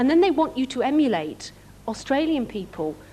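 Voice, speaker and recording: A woman in a northern English accent, at a moderate pace. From northern England. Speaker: actress. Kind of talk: fan convention Q&A.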